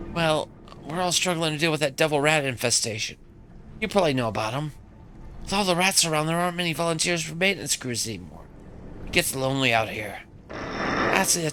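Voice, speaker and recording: Doing a put-on character voice, a man sounds shaky with a fairly high pitch and lively intonation at a fairly quick pace, broken by long, frequent pauses over clear background noise. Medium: game stream. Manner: nervous, shaky.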